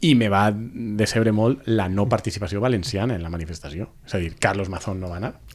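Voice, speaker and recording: In a plain, everyday voice, a man speaks fairly quickly at a fairly low pitch with ordinary pitch variation, hardly any pauses, and big swings in loudness. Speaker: podcast panelist. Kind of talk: casual chat.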